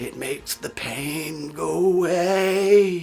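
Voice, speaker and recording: This man puts on a raspy, high-pitched character voice and speaks very slowly over light background noise. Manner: pained, strained.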